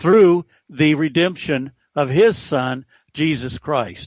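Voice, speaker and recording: The speaker uses lively intonation at a very slow pace. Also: man. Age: 70s. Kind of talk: radio interview testimony. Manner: halting, with frequent stutters and repetitions.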